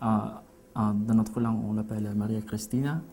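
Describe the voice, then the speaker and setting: Somewhat breathy and dark, mellow in tone, the voice moves at a moderate pace with fairly even intonation. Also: man. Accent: Philippine. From Philippines, Iligan, Mindanao. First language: Cebuano (speaking French). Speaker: immigrant interviewee. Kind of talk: TV interview. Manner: halting, many hesitations.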